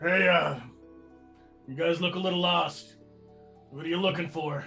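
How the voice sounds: Over clear background music, a man puts on a character voice pitched high, talking at a moderate pace.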